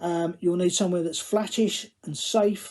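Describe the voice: Fairly even in intonation, a man speaks with a Cockney accent in a high voice with a slightly mellow tone. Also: fairly slow pace. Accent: Cockney, London English.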